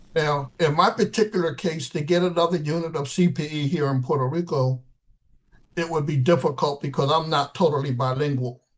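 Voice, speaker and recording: A somewhat breathy man at a fairly quick pace. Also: fairly high pitch for a man, ordinary pitch variation. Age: 70s. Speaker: chaplain trainer. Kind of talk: interview.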